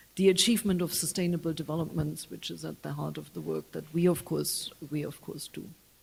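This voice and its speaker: A woman with a German accent speaks at a fairly quick pace with hardly any pauses. Her loudness swings widely. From Germany. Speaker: UN official. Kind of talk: public talk. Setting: public event with audience. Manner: halting, many fillers.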